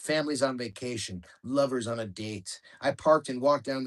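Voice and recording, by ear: With ordinary changes in pitch, the passage is read aloud in a natural voice.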